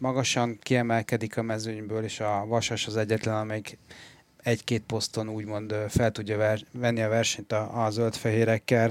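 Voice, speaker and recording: At a moderate pace, a man of medium pitch speaks with monotone, flat intonation in a very clean recording with a silent background. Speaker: sports journalist. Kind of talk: sports analysis discussion.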